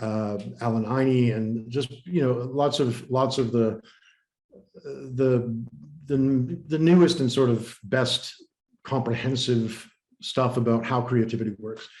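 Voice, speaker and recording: A man at a very slow pace, medium pitch and fairly even intonation. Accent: American. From USA, born New Haven, Connecticut. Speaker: innovation strategist and creativity coach. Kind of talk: podcast interview.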